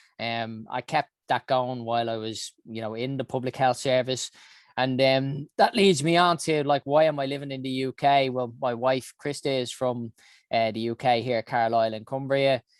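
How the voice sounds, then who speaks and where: Moderately paced, a man with a Dublin accent talks at medium pitch with fairly even intonation. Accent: Dublin Irish. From Ireland, Dublin. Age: 40s. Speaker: health organization founder. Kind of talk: interview monologue. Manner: hesitant, many fillers.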